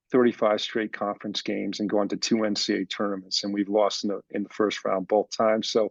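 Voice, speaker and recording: A man talks with a fairly low pitch. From Connecticut. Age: 60s. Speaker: college basketball coach. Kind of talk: interview. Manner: halting.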